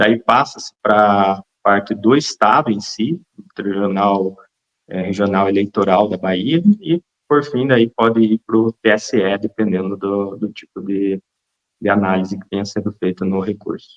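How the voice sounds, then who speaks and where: Speaking fairly slowly, a man with a fairly low pitch and ordinary pitch variation sounds dry and close, with no echo. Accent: Paraná. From central Paraná, Brazil. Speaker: lawyer. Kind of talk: interview.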